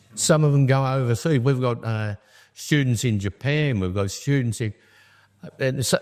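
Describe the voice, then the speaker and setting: A man with an Australian accent at a medium pitch and fairly slow pace, with ordinary pitch variation, on a very clean recording with a silent background. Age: 70s. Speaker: charity founder. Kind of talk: interview.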